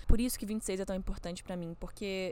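A woman with an ordinary speaking voice talks at a medium pitch and a fairly quick pace. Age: 20s. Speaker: podcaster. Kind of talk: personal reflection monologue. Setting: outdoors. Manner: casual, conversational.

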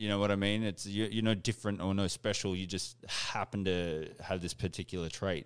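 With an Australian accent, a man speaks in a fairly low, monotone, flat voice at a fairly quick pace with hardly any pauses, on a very clean recording with a silent background. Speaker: podcast host. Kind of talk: casual interview chat. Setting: live stream.

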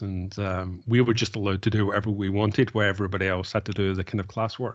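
Delivered at a very fast pace, this voice carries a Glaswegian accent and a monotone, flat intonation. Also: man. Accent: Glaswegian Scottish. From Scotland, Glasgow. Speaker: tech business leader. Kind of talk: podcast interview.

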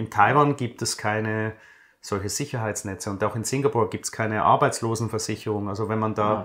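A man with an unremarkable speaking voice talks at a fairly quick pace and a fairly low pitch. His intonation is fairly even, and the recording is very clean with a silent background. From Switzerland. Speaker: finance blogger, former banker. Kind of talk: interview.

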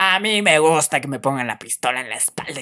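Using a bright, sharp tone, a man with a Guatemalan accent speaks with ordinary pitch variation. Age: 20s. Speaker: podcast host; photographer. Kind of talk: casual solo podcast monologue. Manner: halting.

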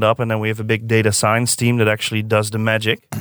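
A man with a Dutch accent, medium pitch and monotone, flat intonation, in a dry, close sound with no echo on a very clean recording with a silent background. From Netherlands, Zeist near Utrecht. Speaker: design director. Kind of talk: podcast interview. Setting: studio.

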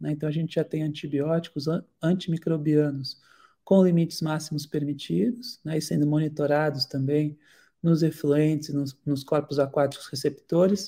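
Somewhat breathy, this man's fairly high-pitched voice has a dark, mellow tone and fairly even intonation. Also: moderate pace. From Santos, São Paulo coast, Brazil. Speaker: marine biologist and researcher. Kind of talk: online lecture.

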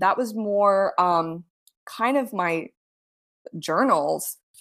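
A woman with an American accent is heard on a very clean recording with a silent background. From South Florida. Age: 30s. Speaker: author and producer. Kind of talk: casual interview.

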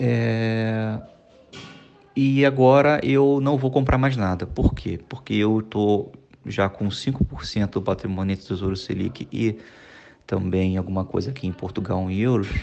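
At a fairly slow pace, a man with a fairly low pitch talks in an unremarkable speaking voice. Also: ordinary pitch variation. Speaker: financially independent retiree. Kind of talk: recorded voice message.

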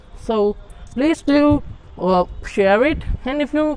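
A woman's voice moves through very wide pitch swings. Noticeable background noise can be heard behind her. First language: not English. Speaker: podcaster. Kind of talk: solo monologue podcast. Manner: halting.

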